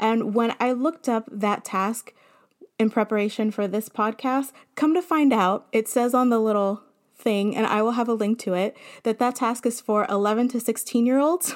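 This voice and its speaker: A plain, everyday voice at a moderate pace, with ordinary pitch variation and very even loudness, on a very clean recording with a silent background. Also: woman, fairly high pitch for a woman. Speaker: podcast host and elementary teacher. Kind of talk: solo podcast monologue.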